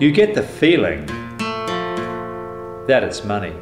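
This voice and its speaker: A man talks while noticeable background noise carries through the recording. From New Zealand. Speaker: spoken word poet. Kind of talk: spoken word poetry over guitar. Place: home room. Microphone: handheld.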